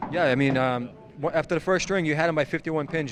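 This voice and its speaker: A man with a Boston accent speaks at a very fast pace with fairly even intonation over noticeable background noise. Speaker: bowling commentator. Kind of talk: live sports commentary.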